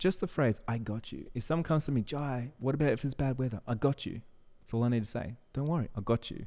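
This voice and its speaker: On a very clean recording with a silent background, a man speaks very fast at a medium pitch in a dark, mellow tone with ordinary pitch variation. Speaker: business coach and wedding photographer. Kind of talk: tutorial. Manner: casual, with fillers.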